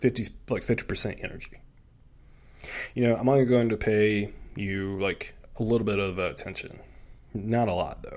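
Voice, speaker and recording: Long, frequent pauses break up a man's speech in a fairly low pitch. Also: moderate pace. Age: 20s. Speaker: solo podcast host, self-improvement. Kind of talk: motivational monologue. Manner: animated.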